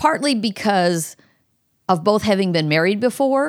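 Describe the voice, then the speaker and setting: At a moderate pace, a woman with a plain, everyday voice speaks with lively intonation in a very clean recording with a silent background. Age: 60s. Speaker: host's mother, recently widowed. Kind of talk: casual interview conversation.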